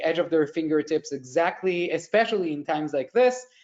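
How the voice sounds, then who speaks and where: Pitched high, a man speaks with an Israeli accent. His pitch variation is ordinary. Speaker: tech company executive. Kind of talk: conference panel presentation.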